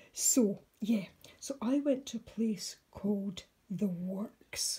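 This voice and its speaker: Woman in a Scottish accent with a dark, mellow tone, medium pitch, and a somewhat breathy quality. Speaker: mixed media artist. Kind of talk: casual vlog. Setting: at home, night, makeshift desk. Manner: soft-spoken.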